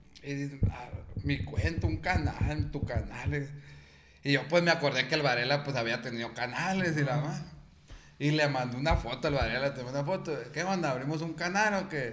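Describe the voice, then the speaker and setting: Noticeable background noise and audible room echo. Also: man, fairly high pitch for a man, ordinary pitch variation, moderate pace. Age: 20s. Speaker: accountant and podcast co-host. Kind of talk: casual chat.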